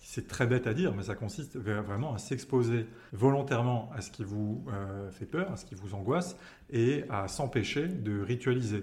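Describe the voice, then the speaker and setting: Somewhat breathy, a man speaks at a moderate pace in a medium pitch with lively intonation. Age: 20s. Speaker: person sharing lived experience of OCD. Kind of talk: testimony. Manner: halting, frequent word repetitions.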